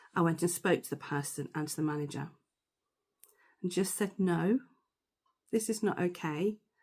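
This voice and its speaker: A woman with a British accent speaks in a fairly low voice, leaving long, frequent pauses. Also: ordinary pitch variation, moderate pace, very clean recording, silent background. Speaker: stammering course tutor. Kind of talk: personal testimony.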